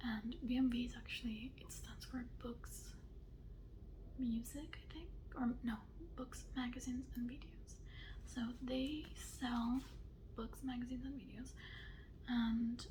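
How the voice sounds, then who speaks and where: A soft-spoken woman whispers at a fairly slow pace, with long, frequent pauses. Her loudness swings widely. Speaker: ASMR creator. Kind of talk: casual talk to camera, book haul. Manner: whispered, soft-spoken.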